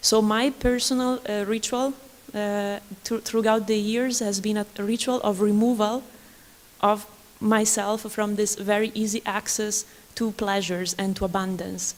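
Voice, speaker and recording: Speaking with an Italian accent, a woman keeps a fairly high pitch and a fairly slow pace, her intonation monotone and flat. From Italy. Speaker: artist or researcher on a symposium panel. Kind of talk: panel discussion. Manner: halting.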